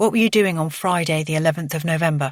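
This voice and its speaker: At a very fast pace, a put-on character voice speaks in a middle pitch. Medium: read story. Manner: measured, probing.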